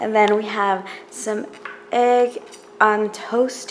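Light background noise behind a woman's voice. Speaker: vlogger. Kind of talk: casual vlog chat. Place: kitchen. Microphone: phone near.

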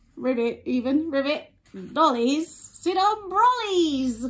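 In a put-on character voice, the speaker uses a high pitch and a fairly slow pace. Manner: playful.

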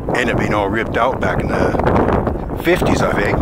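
A man's voice sounds dry, with no echo, while loud background noise plays around it. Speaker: walking tour narrator. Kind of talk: casual tour commentary. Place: waterside. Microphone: phone near.

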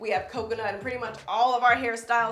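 A woman's voice with audible room echo and faint music in the background. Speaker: beauty vlogger. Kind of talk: casual vlog chat.

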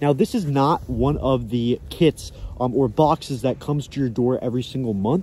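A man speaks in a somewhat breathy voice, the sound dry with no echo and light background noise behind him. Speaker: fishing channel host. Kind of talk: casual vlog chat, sponsor read. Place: forest. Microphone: phone near.

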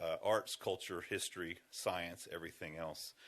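This is a man speaking. He has an American accent. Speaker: arts center director presenting to city council. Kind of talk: public presentation at council meeting. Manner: fast.

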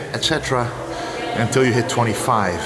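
Loud background noise runs beneath a man's voice. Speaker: fitness creator. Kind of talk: casual vlog chat explaining training. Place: home room.

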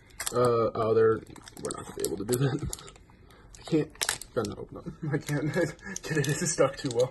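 This man talks at a moderate pace in a fairly high pitch, with big swings in loudness and long, frequent pauses. Noticeable background noise is present. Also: ordinary pitch variation. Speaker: gaming YouTuber. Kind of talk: pack opening video. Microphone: phone near.

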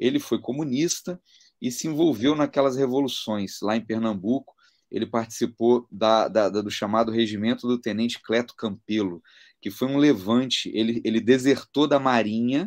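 A man at a moderate pace, with ordinary pitch variation, over a quiet background. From Brazil. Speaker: interview guest. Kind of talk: conversion testimony. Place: home room.

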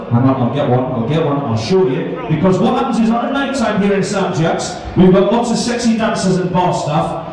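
A man talks at a moderate pace with very wide swings in pitch, in a room with strong echo and light background noise. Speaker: stag show host. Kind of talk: comedy compere patter. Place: bar.

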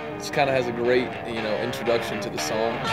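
A man with an American accent over clear music in the background. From Vermont. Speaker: baseball player. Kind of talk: interview answer. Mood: relaxed, amused. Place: stadium.

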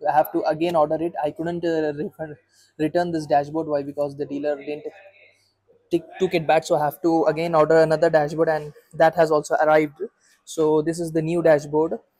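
Nothing can be heard behind the voice. It sounds dry, without any echo. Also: fairly quick pace. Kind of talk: casual vlog chat. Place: workshop. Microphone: phone near.

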